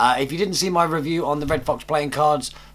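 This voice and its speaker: A man talks at a fairly quick pace in a fairly high voice. He speaks with a British accent. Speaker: magician. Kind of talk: tutorial. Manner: fast; animated.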